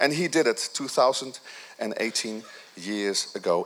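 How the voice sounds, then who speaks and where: A man speaks in an animated tone. Noticeable background noise is present. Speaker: pastor. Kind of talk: sermon. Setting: church.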